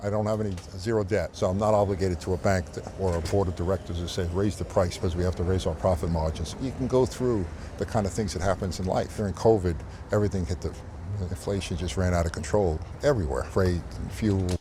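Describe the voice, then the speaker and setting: Speaking very fast with an American accent, a man has a very deep, low pitch with ordinary pitch variation, and there is noticeable background noise. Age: 70s. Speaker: billionaire entrepreneur. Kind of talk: interview.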